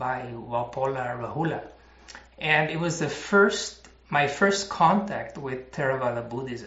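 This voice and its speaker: Here a man talks with a Spanish accent. His pitch is fairly high and his intonation is lively. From Mexico (Mexico City). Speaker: chemist and former Buddhist monk. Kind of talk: interview. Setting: monastery.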